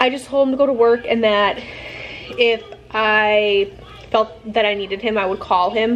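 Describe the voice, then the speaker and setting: Light background noise sits behind a woman's voice. Her intonation stays fairly even. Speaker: pregnant mother vlogger. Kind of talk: casual vlog chat. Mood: anxious but calm. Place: home room. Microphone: phone near.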